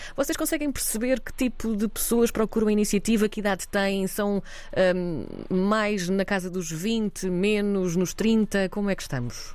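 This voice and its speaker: In a European Portuguese accent, a woman speaks at a medium pitch and a fairly slow pace with hardly any pauses. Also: ordinary pitch variation. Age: 30s. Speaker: radio host. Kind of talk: interview.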